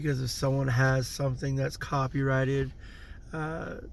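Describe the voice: A man speaks at medium pitch and a fairly slow pace. His voice has vocal fry and little pitch movement.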